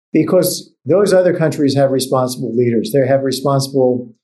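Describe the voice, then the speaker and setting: The room echo is audible around this man's dark, mellow voice. He keeps a medium pitch and a moderate pace. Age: 70s. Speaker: economics professor. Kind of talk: casual interview about economic policy.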